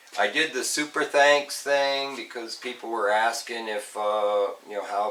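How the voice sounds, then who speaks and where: Noticeable background noise accompanies a man speaking at a fairly slow pace, medium pitch and ordinary pitch variation. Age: 60s. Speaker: car restoration youtuber. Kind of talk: casual vlog talk. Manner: halting, many fillers.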